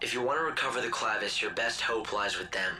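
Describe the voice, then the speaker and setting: A man's raspy put-on character voice at a very fast pace, over clear background noise. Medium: short film. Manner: calm, measured.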